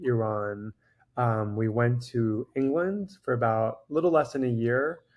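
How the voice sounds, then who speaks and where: Against a quiet background, a man speaks with a New York accent. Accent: New York American. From New York (Long Island, Queens), childhood in Dominican Republic. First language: Farsi. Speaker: cardiologist. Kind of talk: interview conversation.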